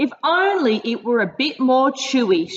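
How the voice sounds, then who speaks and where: A woman puts on a breathy character voice, pitched high with very wide pitch swings. She speaks at a moderate pace. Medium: read story. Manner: fluttering, airy.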